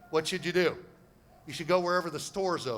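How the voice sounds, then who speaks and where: With an American accent, a man talks at a very fast pace in an animated tone. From United States. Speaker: property investment seminar speaker. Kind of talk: seminar presentation. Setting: stage with audience.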